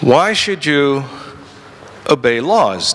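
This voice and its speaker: A man talks over noticeable background noise. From Netherlands. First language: Dutch. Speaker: lawyer and libertarian activist. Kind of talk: conference talk. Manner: halting, with frequent repetitions.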